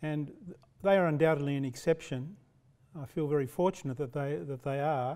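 Over a quiet background, a man with an Australian accent speaks at a fairly quick pace in a dark, mellow tone, with ordinary pitch variation and big swings in loudness. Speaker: professor; lecturer. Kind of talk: lecture. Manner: halting. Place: hall. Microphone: podium.

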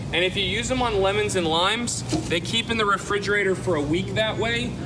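Speaking at a fairly quick pace, a man is heard over noticeable background noise. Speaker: in-store product demonstrator. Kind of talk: live infomercial-style product demonstration to a crowd. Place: shop.

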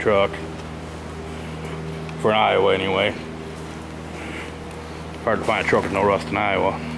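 The speech moves at a moderate pace with long, frequent pauses, set against noticeable background noise. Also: man. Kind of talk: casual walkaround commentary. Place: workshop. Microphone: phone near.

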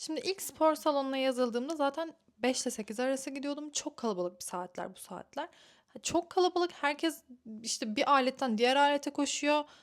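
A woman with a high-pitched voice talks at a moderate speed, her pitch varying in an ordinary way. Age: 20s. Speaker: lifestyle vlogger. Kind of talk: casual vlog talk to camera.

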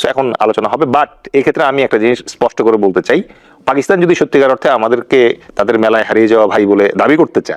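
Dry and close with no echo, an unremarkable speaking voice carries lively intonation at very even loudness. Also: man. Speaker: political analyst. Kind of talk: talk show interview.

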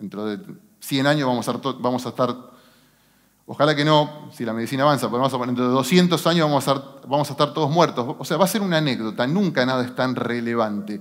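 Against a quiet background, a man talks very fast with ordinary pitch variation. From Argentina, San Nicolás (Buenos Aires province); Buenos Aires province, Argentina. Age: 40s. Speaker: business executive; speaker. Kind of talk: motivational talk. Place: stage. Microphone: headset.

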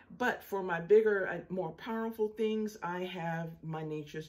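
A woman speaks in a dark, mellow tone. Her pace is fairly slow. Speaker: home solar power vlogger. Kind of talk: casual vlog chat. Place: home room. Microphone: phone near.

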